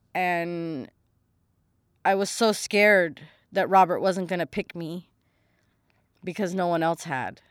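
A woman with an American accent at a fairly slow pace, ordinary pitch variation, on a very clean recording with a silent background and a dry, close sound with no echo. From US West Coast (Los Angeles, San Fernando Valley). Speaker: podcast host. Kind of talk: personal testimony. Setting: home recording. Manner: casual, conversational.

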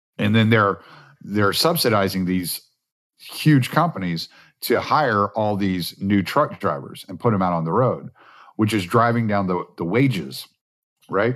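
A man's fairly low voice, an unremarkable speaking voice with lively intonation, over a quiet background. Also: fairly slow pace. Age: 40s. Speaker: podcast host and truck driver. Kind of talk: casual chat. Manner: relaxed.

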